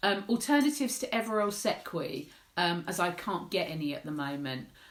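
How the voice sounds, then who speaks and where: A woman with a medium pitch speaks at a fairly quick pace, her pitch swinging very widely. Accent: English. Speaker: menopause support campaigner. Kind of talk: live Q&A vlog.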